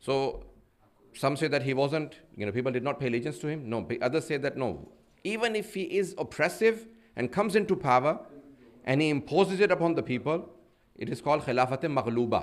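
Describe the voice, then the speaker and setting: A man's fairly high voice with vocal fry, very wide pitch swings, a fairly quick pace and long, frequent pauses. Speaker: Islamic preacher. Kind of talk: sermon. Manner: fast.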